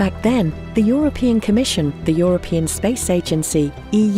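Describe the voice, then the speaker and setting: Music plays in the background as a woman speaks at a moderate pace. Her medium-pitched voice has lively intonation. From UK. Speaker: voice actor. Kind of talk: corporate narration.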